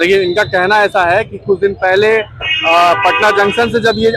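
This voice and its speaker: A man speaks at a high pitch. Noticeable background noise is present. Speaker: ground reporter. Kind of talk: street interview host talk. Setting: outdoors.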